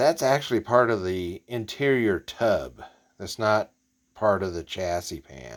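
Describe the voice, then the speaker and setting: Recorded very cleanly against a silent background, a man with a fairly low pitch makes very wide pitch swings and big swings in loudness. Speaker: model kit hobbyist YouTuber. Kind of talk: casual show-and-tell vlog. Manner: halting, with fillers; quiet, hushed.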